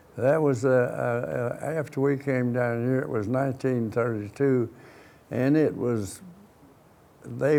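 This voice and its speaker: A man with an Appalachian accent, medium pitch and a very slow pace. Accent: southern Appalachian US. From US South, southwest Virginia (Wythe County, Pulaski). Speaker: war veteran. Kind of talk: oral history interview. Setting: studio. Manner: halting, many restarts and fillers.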